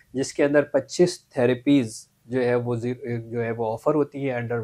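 A man speaks at a fairly slow pace in a monotone, flat intonation. The background is quiet. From Pakistan, Karachi; Pakistan. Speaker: mental health specialist; interview guest. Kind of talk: interview. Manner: formal. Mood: calm, friendly. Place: studio. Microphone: lapel.

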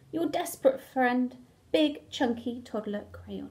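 Using a put-on character voice, a woman speaks slowly at a fairly high pitch, with lively intonation, a slightly mellow tone and a slightly husky edge.

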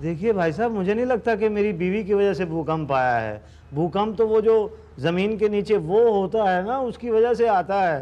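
A man with a high voice and a dark, mellow tone speaks at a fairly slow pace with ordinary pitch variation. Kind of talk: sitcom dialogue. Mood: exasperated comic complaining. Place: office.

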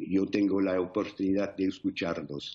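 An English accent against a quiet background. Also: man. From England. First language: English (speaking Spanish). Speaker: war veteran. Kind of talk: interview; interview answer. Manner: halting. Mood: earnest, solemn, emotional. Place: home room. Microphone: video call.

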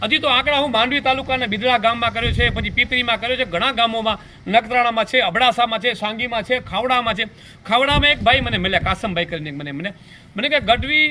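A man talks with an extremely high pitch and ordinary pitch variation. Noticeable background noise runs under his voice. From Kutch, Gujarat. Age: 50s. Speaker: local businessman and village figure. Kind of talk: news interview statement.

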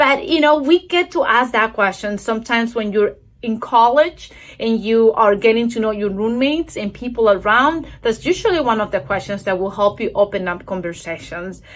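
With a non-native accent, a woman speaks at a moderate pace in a fairly high pitch with lively intonation. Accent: noticeable foreign. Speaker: church devotional speaker; speaker. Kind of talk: recorded video devotional. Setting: recorded video. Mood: warm, encouraging. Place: home room. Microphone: phone near.

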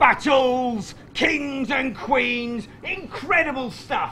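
Over light background noise, a man with an extremely high pitch speaks in a raised, projected voice at a very slow pace, with ordinary pitch variation. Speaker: storyteller. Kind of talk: live comedy history stage show. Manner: energetic. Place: stage.

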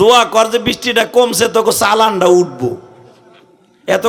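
A man speaks in a high voice with an animated tone. Noticeable background noise can be heard. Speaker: Islamic preacher. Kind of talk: sermon.

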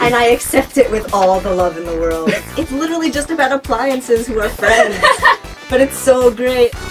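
Over loud background music, a woman talks at a moderate pace. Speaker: college radio talk show host. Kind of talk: late-night talk show banter, comedic. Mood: amused, warm. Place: studio.

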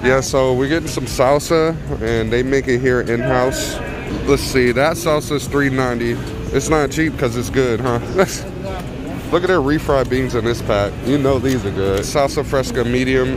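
Over music in the background, a man speaks at a moderate pace with ordinary pitch variation, and the sound is dry with no echo. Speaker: family vlogger. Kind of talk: casual vlog chat. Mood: cheerful, enthusiastic. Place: shop. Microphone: phone near.

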